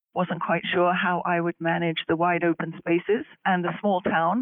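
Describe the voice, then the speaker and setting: In a British accent, a woman talks at a moderate pace with fairly low pitch. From England, London. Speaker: university president and AI commissioner. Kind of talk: interview.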